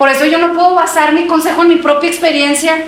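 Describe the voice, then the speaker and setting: A woman talks while noticeable background noise and audible room echo surround her voice. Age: 30s. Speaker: preacher. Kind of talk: sermon.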